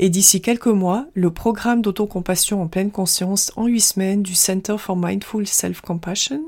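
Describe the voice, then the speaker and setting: This woman speaks at a moderate pace with a dark, mellow tone, medium pitch and fairly even intonation, and hardly any pauses. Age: 40s. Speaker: self-compassion coach and podcast host. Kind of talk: scripted monologue.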